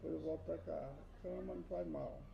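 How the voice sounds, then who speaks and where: A man's voice with audible room echo. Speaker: Bible teacher. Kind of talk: personal testimony. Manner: soft-spoken. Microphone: added mic, still too quiet.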